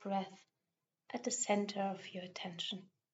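A woman at medium pitch talks in an unremarkable speaking voice. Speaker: meditation teacher. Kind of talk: guided meditation. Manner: slow, calm, soft-spoken, gentle with long pauses.

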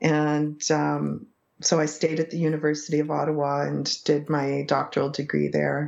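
A woman with a Canadian accent at a moderate pace. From English Canada, small town. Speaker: psychology professor. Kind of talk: interview conversation.

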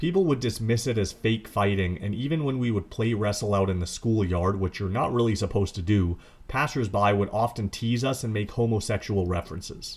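A man talks at a fairly quick pace in a somewhat breathy voice. His pitch varies in an ordinary way. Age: 30s. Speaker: wrestling podcast host. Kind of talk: solo podcast commentary.

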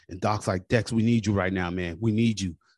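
Against a quiet background, a man talks in an ordinary speaking voice at a fairly low pitch and fairly quick pace. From US military family, moved around. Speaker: army veteran and police officer. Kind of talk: interview, personal testimony.

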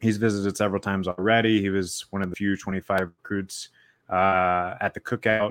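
A man's plain, everyday voice, fairly low in pitch, with an American accent, fairly even intonation and a moderate pace, in a very clean recording with a silent background and a dry, close sound with no echo. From South Carolina. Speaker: sports podcast host and recruiting writer. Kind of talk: casual chat.

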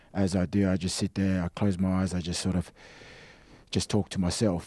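In an Australian accent, a man speaks with a very deep, low pitch and a dark, mellow tone. His delivery is monotone and flat, and the sound is dry and close with no echo. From Australia (Sydney area). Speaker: rugby league player. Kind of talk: casual chat.

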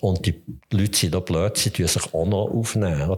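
In a Swiss German accent, a man with a fairly low, somewhat breathy voice talks at a moderate pace with ordinary pitch variation. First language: Swiss German (speaking German). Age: 70s. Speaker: physician, forensic medical examiner. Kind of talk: interview.

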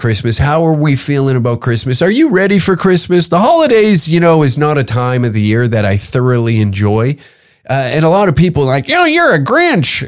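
Using a plain, everyday voice with a Canadian accent, a man talks at a fairly quick pace and fairly high pitch, with lively intonation and very even loudness. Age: 30s. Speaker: podcast host and comedian. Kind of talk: casual monologue. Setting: home recording booth.

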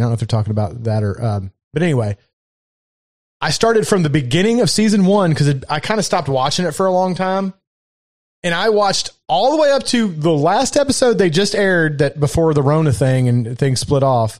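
A man talks at a fairly quick pace with a fairly high pitch and very wide pitch swings. His loudness stays very even against a quiet background. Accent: Southern US. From Kentucky. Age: 40s. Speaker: podcast host. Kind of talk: casual chat.

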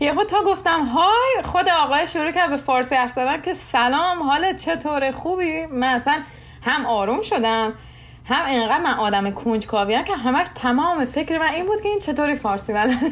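Noticeable background noise sits behind a voice with lively intonation. The pace is moderate and the loudness very even. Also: woman, high pitch for a woman. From Iran, Shiraz. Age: 20s. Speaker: nurse. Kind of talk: interview.

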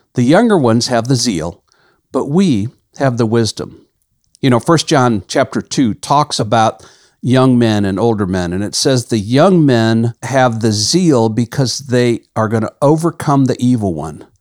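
An unremarkable speaking voice at a fairly slow pace, with lively intonation and a dry, close sound with no echo on a very clean recording with a silent background. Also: man, medium pitch for a man. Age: 60s. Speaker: ministry leader and podcast host. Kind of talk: devotional teaching monologue. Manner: conversational.

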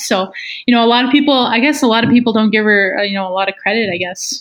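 Fairly even intonation marks a woman speaking with a Canadian Prairies accent. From northern Manitoba, Canada (small Métis community). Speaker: professional hockey player. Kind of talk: casual interview.

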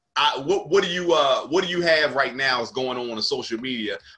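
A man with an American accent, fairly high in pitch, bright and sharp in tone, at a moderate pace with ordinary pitch variation. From South Jersey, near Philadelphia. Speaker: comedian and podcast host. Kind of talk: casual chat.

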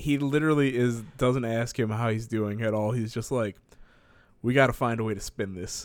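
A man's unremarkable speaking voice at medium pitch, moderate pace and fairly even intonation. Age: 20s. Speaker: podcast co-host. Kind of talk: casual chat. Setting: at parents' home.

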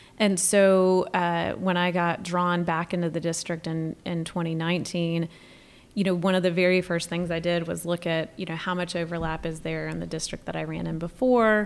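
A woman with a North Carolina accent speaks at a moderate pace in a fairly low pitch, her intonation flat and monotone. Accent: Southern US, North Carolina. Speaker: state senator. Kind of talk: casual chat.

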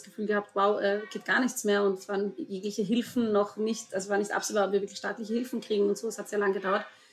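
Woman at a very fast pace with monotone, flat intonation. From Vorarlberg, Austria. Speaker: dance school owner. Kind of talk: podcast interview.

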